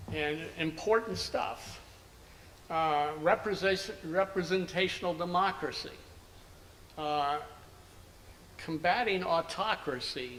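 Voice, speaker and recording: Using an American accent, a man with a high pitch moves at a fairly slow pace, showing ordinary pitch variation and long, frequent pauses. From US Northeast (Princeton, New Jersey). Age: 70s. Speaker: anthropologist. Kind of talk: interview.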